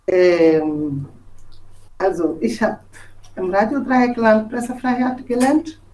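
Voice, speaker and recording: With a dark, mellow tone and a fairly high pitch, a woman speaks at a very slow pace, taking long, frequent pauses and making very wide pitch swings. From Togo. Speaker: journalist. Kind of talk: personal testimony. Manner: halting, with fillers and restarts.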